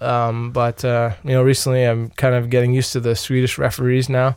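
Here a man speaks at a medium pitch. He has a Long Island accent. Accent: New York (Long Island) American. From Long Island, New York. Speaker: ice hockey player. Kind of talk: interview. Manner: halting, many fillers.

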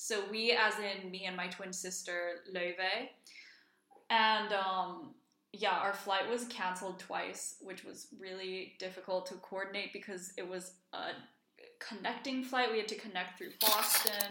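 A woman at medium pitch speaks at a fairly slow pace with a bright, sharp tone and fairly even intonation. Her loudness swings a lot, and audible room echo surrounds her. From Iceland. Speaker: podcast co-host. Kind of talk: casual chat.

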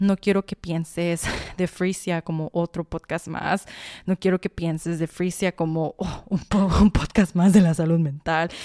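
A woman speaks at a fairly slow pace in a fairly low, dark and mellow voice, her intonation flat and monotone, the sound dry and close with no echo. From Sonora, Mexico. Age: 20s. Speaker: podcast host. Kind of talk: personal monologue. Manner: talkative.

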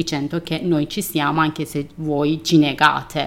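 With a Persian accent, a woman speaks fairly slowly in a very deep, low voice and a flat, monotone delivery. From Iran. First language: Persian (speaking Italian). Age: 30s. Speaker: artist. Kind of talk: interview testimony.

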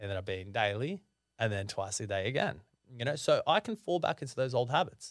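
The speaker is a man with an Australian accent. He talks at a very fast pace. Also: very clean recording, silent background. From Sydney, Australia (the Shire). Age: 30s. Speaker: mortgage broker and economist. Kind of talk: interview conversation.

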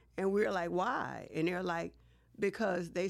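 At a moderate pace, a woman with an American accent speaks in a fairly low pitch with vocal fry. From US South, Baton Rouge, Louisiana. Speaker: city council member and candidate. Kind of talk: interview.

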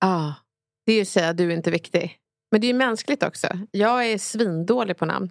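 On a very clean recording with a silent background, a woman speaks at a fairly quick pace in an unremarkable speaking voice with ordinary pitch variation. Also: medium pitch for a woman. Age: 30s. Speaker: rhetoric expert. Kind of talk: casual discussion.

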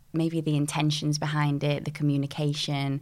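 On a very clean recording with a silent background, a woman with a Yorkshire accent speaks at a moderate pace in a very deep, low pitch. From northern England, Sheffield (Dinnington). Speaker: singer and dancer. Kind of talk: casual chat.

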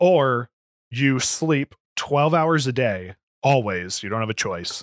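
This voice has an American accent and ordinary pitch variation. The recording is very clean with a silent background, and the sound is dry and close with no echo. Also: man. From Florida, US South. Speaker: podcast co-host. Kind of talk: casual chat. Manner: loud.

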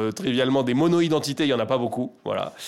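A man's medium-pitched, normal speaking voice with lively intonation. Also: very clean recording, silent background. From France, Paris. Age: 40s. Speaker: nonprofit network director. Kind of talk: interview.

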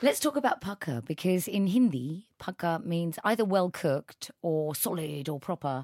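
With very wide pitch swings and hardly any pauses, a fairly low-pitched woman talks at a moderate pace in a very clean, silent-background recording with a dry, close sound and no echo. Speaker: podcast host. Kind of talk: interview. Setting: studio.

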